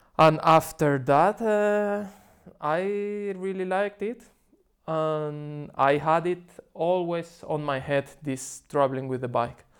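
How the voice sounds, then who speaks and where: A man with a Spanish accent speaks at a very slow pace and a fairly high pitch. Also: ordinary pitch variation. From Spain, Seville. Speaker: cycling tourist. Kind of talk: casual interview.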